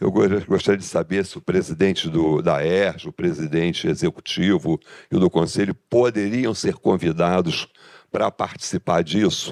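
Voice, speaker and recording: A moderate pace in a dry, close sound with no echo. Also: man, very deep, low pitch for a man, ordinary pitch variation. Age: 70s. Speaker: engineering business association member. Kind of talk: audience question at a business meeting. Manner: halting, with false starts.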